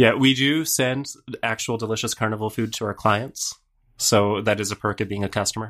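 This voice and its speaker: In a very clean recording with a silent background, a man with a plain, everyday voice talks at a fairly quick pace and medium pitch, his intonation fairly even. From Canada. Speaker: software company founder. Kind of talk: casual chat.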